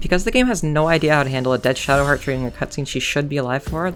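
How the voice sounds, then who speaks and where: A woman speaks at a very fast pace in a very deep, low pitch. Music plays in the background. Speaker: speedrunner. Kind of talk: video game commentary narration.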